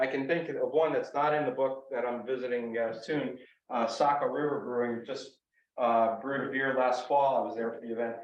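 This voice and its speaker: A man's medium-pitched voice with an American accent, moderate pace and fairly even intonation, plus audible room echo. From Western Massachusetts (from New Jersey). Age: 60s. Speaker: author and hiker. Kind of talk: audience Q&A. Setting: library talk with audience. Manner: casual, hesitant with fillers.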